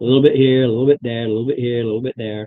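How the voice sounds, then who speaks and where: A man speaks with fairly even intonation. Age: 60s. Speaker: tabletop gamer. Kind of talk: casual chat. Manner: halting.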